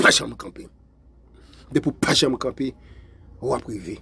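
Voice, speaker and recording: The speaker is a man. His voice has vocal fry. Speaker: motivational video host. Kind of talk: motivational speech. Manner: repetitive, emphatic.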